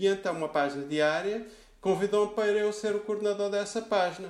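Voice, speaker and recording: The speaker is a man. His intonation is lively. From Lisbon, Portugal (teen years in Rio de Janeiro). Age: 50s. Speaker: food critic. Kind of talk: interview. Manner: halting, many repetitions.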